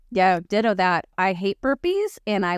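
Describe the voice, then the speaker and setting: A woman talks at a moderate pace in an unremarkable speaking voice. Her pitch is medium, and the sound is dry and close with no echo. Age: 40s. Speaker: podcast co-host. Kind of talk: casual chat.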